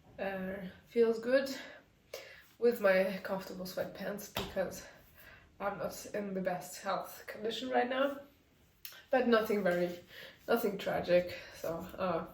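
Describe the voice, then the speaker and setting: A woman at a fairly slow pace with long, frequent pauses, audible room echo and noticeable background noise. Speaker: knitting designer vlogger. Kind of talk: casual vlog. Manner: hesitant, many fillers.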